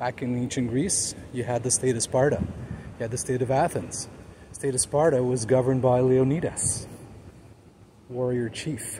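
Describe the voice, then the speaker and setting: At a moderate pace, a man talks with fairly even intonation over light background noise. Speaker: amateur city tour vlogger. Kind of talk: casual vlog chat. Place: garden. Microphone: phone near.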